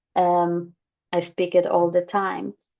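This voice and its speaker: A woman speaks at a very slow pace with a fairly low pitch. Her tone is dark and mellow, and her intonation is monotone and flat. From Poland. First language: Polish. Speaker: holistic therapist. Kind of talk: personal talk to camera. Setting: screen-share recording. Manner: hesitant, many fillers.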